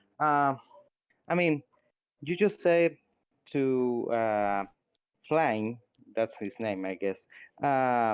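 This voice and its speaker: The speaker is a man with a non-native accent. He talks at a very slow pace. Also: quiet background. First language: Spanish. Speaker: atheist community member. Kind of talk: heated debate. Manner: halting.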